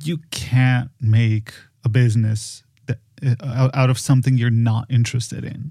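A man's somewhat breathy voice with a dark, mellow tone, medium pitch, monotone, flat intonation and a fairly slow pace. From Poland. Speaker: podcast designer and film producer. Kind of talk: casual conversation. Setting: remote recording via software.

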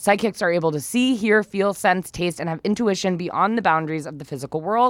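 At medium pitch and a fairly quick pace, a woman talks in a normal speaking voice with hardly any pauses. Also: lively intonation. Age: 20s. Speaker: podcast co-host. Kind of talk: casual chat. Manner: laughs often.

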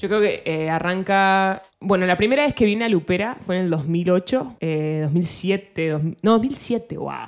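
A woman with a normal speaking voice, medium pitch, ordinary pitch variation, a fairly slow pace and hardly any pauses. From Argentina. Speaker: singer-songwriter. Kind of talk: casual interview chat.

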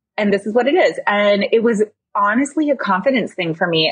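At a moderate pace, this somewhat breathy voice moves with lively intonation. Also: woman. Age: 30s. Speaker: interior designer and business owner. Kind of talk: casual interview.

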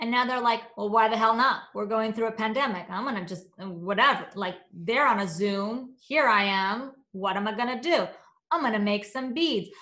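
The voice has a bright, sharp tone. Room echo is audible. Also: woman, fairly high pitch for a woman, ordinary pitch variation, moderate pace. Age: 30s. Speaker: entrepreneur and founder of a platform for moms. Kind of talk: casual interview chat. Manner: animated.

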